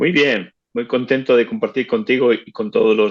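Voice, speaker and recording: A man speaks at a moderate pace. His pitch sits in the medium range, with ordinary variation. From northern Spain (Bilbao, Biscay). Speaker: interviewee, La Salle alumnus. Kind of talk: interview. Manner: halting, repeated words.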